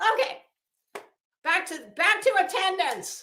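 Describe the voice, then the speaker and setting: A woman is shouting in a raised, projected voice. Her pitch makes very wide swings. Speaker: true crime commentator. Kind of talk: casual commentary livestream. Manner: loud, yelling.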